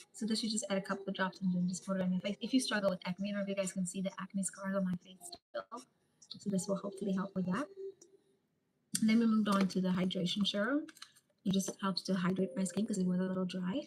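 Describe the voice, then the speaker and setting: Talking at a very fast pace, a woman uses a medium pitch and fairly even intonation in a South African accent. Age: 30s. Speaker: live streamer. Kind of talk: casual live stream chat. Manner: casual, chatty.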